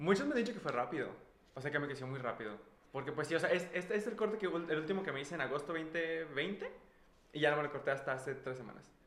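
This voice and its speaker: A man with a fairly high voice talks very fast and with lively intonation, with audible room echo and noticeable background noise. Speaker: microbiologist, former student of co-host. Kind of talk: casual chat. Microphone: echo in the room.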